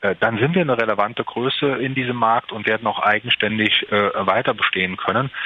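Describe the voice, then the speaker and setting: Noticeable background noise sits behind the speaker, a man. He talks at a fairly quick pace. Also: medium pitch for a man, ordinary pitch variation, hardly any pauses. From Saarland, Germany (Merzig). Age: 40s. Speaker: entrepreneur. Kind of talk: interview. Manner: halting, many fillers.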